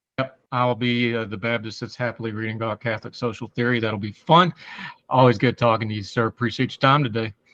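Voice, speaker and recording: In dry, close sound with no echo, a man with an American accent speaks very fast at a medium pitch with fairly even intonation. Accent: hillbilly. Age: 40s. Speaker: podcast host. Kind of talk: interview.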